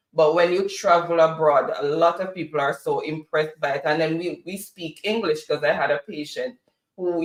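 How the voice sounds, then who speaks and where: A man speaks at a moderate pace with a high pitch. His intonation stays fairly even. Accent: Jamaican. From Jamaica. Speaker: co-host of a political talk show. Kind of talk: casual chat. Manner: halting.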